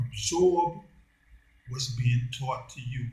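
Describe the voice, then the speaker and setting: A very slow, somewhat breathy male voice, fairly high in pitch, with a dark, mellow tone and ordinary pitch variation. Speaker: commentary channel host. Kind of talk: monologue. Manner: deliberate.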